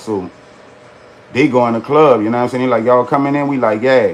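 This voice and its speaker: A man speaks at a very fast pace in a medium pitch. Noticeable background noise runs under his voice. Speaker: storyteller livestreamer. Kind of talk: casual storytelling on livestream. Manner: animated.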